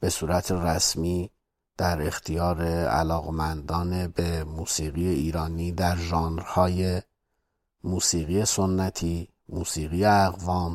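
Very clean recording and silent background, a man's very deep, low voice with fairly even intonation at a very slow pace. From Iran, Kermanshah. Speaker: musician and composer. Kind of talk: interview.

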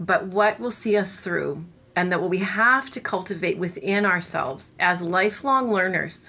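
Speaking at a moderate pace with a Canadian accent, a woman uses a medium pitch, ordinary pitch variation and a bright, sharp tone. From Canada, Winnipeg, Manitoba. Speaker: cello professor. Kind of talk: interview.

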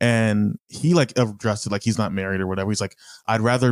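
Fairly low in pitch, a man talks with fairly even intonation in an unremarkable speaking voice. The sound is dry and close with no echo, and the recording is very clean with a silent background. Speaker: podcast host. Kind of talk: casual chat.

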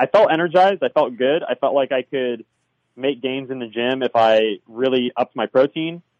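A man with an American accent speaks at a moderate pace in a plain, everyday voice, his pitch moving in an ordinary way. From Southern California. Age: 30s. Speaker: former vegan turned carnivore dieter. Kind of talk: interview.

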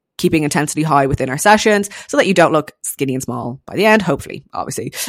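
Very fast and animated, a woman speaks at a very deep, low pitch in a dry, close sound with no echo. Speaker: fitness coach. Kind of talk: casual solo podcast monologue.

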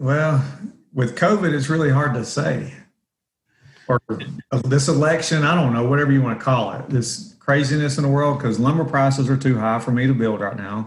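With a Southern US accent, a man talks at a moderate pace and fairly high pitch, with ordinary pitch variation and audible room echo. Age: 40s. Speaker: real estate investor. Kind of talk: interview. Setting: job site. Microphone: echoey room.

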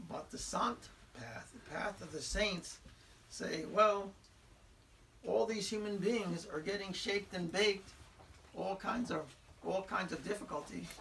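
Against noticeable background noise, a man with a high pitch and ordinary pitch variation speaks at a fairly slow pace, with long, frequent pauses. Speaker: spiritual teacher. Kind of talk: spiritual talk. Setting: room with audience. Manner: halting.

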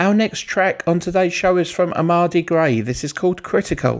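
At a moderate pace, a man with a fairly high pitch speaks over noticeable background noise. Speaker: radio presenter. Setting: radio studio. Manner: brisk, friendly, informal, with filler 'uh' and plugs for artists; clear, measured, spelling out web addresses.

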